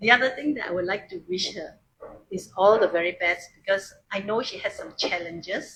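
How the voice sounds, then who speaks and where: A woman with a plain, everyday voice speaks at a moderate pace and medium pitch, with ordinary pitch variation. Her loudness swings widely. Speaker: speaker at a book launch. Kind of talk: congratulatory speech. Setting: live event in a coffee shop with audience.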